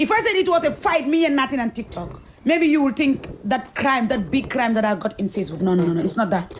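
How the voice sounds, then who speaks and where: Amid noticeable background noise, a high-pitched woman talks at a very fast pace with hardly any pauses and very wide pitch swings. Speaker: social media influencer. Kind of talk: interview storytelling. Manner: halting.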